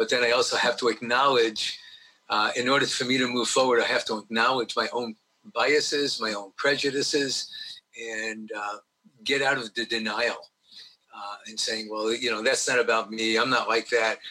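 Talking at a moderate pace, a man speaks in a New York accent. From New York (Brooklyn, Long Island). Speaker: diversity trainer, retired teacher. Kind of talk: interview.

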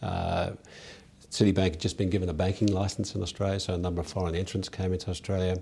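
A man speaks in a very deep, low pitch with a dark, mellow tone that is somewhat breathy. His intonation is monotone and flat. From South Africa. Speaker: company director. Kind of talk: interview. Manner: halting with frequent fillers.

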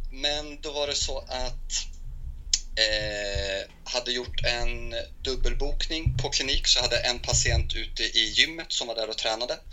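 With audible room echo around him, a man speaks at a fairly slow pace. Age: 20s. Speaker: physiotherapist. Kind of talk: interview. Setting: Skype call.

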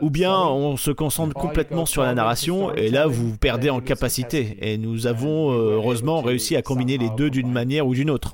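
The speech runs on with hardly any pauses over noticeable background noise. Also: man. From southwest Germany, near Freiburg. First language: German (speaking French). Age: 30s. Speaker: theme park event designer. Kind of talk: interview.

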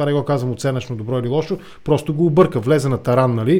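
His tone is dark and mellow. The man talks at a fairly quick pace. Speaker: podcast host. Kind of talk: political interview.

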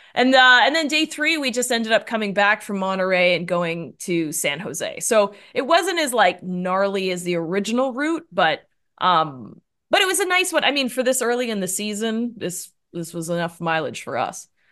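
Against a quiet background, a woman with a Canadian accent speaks in a bright, sharp tone with very wide pitch swings. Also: fairly high pitch for a woman, moderate pace. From Canada. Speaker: endurance cyclist. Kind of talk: casual interview.

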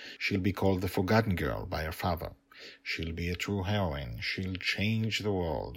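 A plain read-aloud passage

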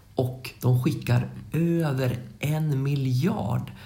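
A man's dark, mellow, somewhat breathy voice carries audible room echo. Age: 30s. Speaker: educational podcast co-host. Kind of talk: educational explainer chat.

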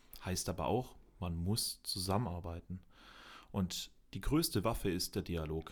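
On a very clean recording with a silent background, a man with a very deep, low pitch speaks at a fairly slow pace with ordinary pitch variation and long, frequent pauses. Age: 20s. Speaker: local youth party chair, sales rep. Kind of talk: interview conversation.

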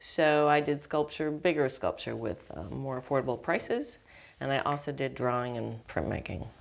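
With an American accent, a woman speaks in a very deep, low pitch with ordinary pitch variation. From Wisconsin (Oshkosh). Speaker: artist and art teacher. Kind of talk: interview.

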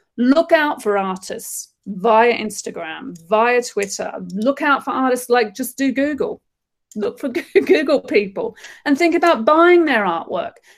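A woman with an Australian accent speaks fairly slowly in a high pitch, her voice making very wide pitch swings. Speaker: artist and creative director. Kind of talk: casual interview. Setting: video call from her studio.

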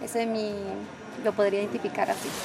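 Noticeable background noise sits under a woman's voice. She speaks at a fairly high pitch in a monotone, flat intonation. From Colombia, Norte de Santander (Cúcuta area). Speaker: community leader and stylist. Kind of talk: interview testimony.

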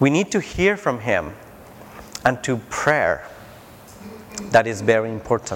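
The pitch swings very widely as the speaker goes at a fairly slow pace, with long, frequent pauses. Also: man, medium pitch for a man. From Mexico (Tijuana). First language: Spanish. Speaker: preacher. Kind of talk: sermon. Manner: halting.

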